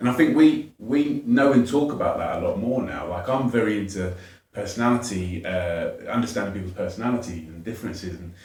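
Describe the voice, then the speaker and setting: A man with a southern English accent speaks at a fairly quick pace in a medium pitch, somewhat breathy. Audible room echo surrounds his voice. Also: ordinary pitch variation. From southern England, Watford. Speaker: educator and charity founder. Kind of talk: podcast interview.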